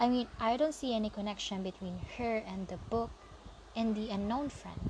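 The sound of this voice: This is an unforced reading voice. It is used throughout.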